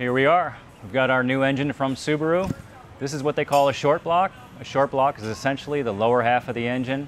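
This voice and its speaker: Music plays in the background as a man talks at a very fast pace. His intonation is fairly even. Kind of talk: tutorial. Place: workshop.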